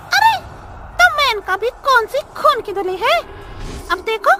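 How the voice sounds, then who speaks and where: A female-sounding put-on character voice, pitched extremely high, moves at a fairly slow pace. There is light background noise. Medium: read story.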